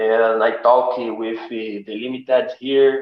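The speaker is a man. He talks with a Portuguese accent. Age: 30s. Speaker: guest. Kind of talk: casual chat. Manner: halting.

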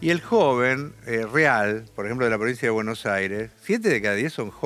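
A man talks at a moderate pace and medium pitch, with ordinary pitch variation, in an unremarkable speaking voice. The recording is very clean, with a silent background. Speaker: left-wing politician. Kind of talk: interview.

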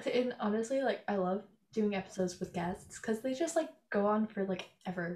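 A woman speaks at a medium pitch and a fairly quick pace. Her voice is somewhat breathy, with lively intonation. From Canada. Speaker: podcast host. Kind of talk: casual chat.

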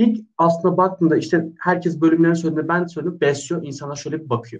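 A man talks at a fairly quick pace. His voice is high. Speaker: personal trainer. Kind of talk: casual chat. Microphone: unstable internet connection.

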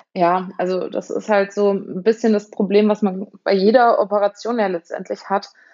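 A woman talks with hardly any pauses in a monotone, flat intonation. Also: medium pitch for a woman, moderate pace. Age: 30s. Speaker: patient sharing her illness story. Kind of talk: interview. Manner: hesitant with many fillers.

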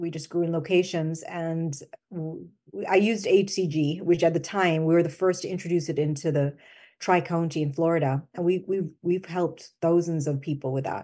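With a dark, mellow tone, a woman talks at a moderate pace and keeps her intonation fairly even. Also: fairly low pitch for a woman. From Jamaica. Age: 50s. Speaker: skincare company founder. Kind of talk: interview.

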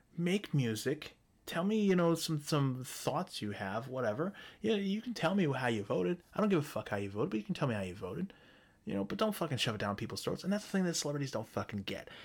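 A man talks at a very fast pace with very wide pitch swings and a somewhat breathy voice, captured in a very clean recording with a silent background. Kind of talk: angry rant. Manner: venting, profane and contemptuous, with insults fired in staccato repeats; sarcastic and combative, with a dismissive, sneering edge.

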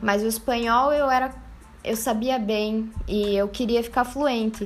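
A woman talks fairly slowly in a fairly high pitch with fairly even intonation. She has a plain, everyday voice. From Brazil, interior of Paraná. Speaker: art student and poet. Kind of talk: casual chat.

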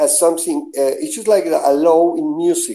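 A man with a Spanish accent speaks in a high pitch with a dark, mellow tone and very wide pitch swings. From Venezuela. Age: 60s. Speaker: web pioneer. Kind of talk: casual chat.

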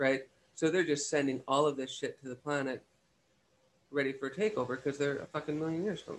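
Despite long, frequent pauses, a man with a fairly high pitch talks at a very fast pace. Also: ordinary pitch variation. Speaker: guest. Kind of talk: casual chat.

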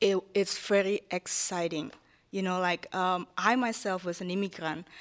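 With an Indonesian accent, a woman speaks at a moderate pace and with fairly even intonation. The recording is very clean and dry, close with no echo, over a silent background. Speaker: city hall liaison to immigrant community. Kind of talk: panel discussion. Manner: halting.

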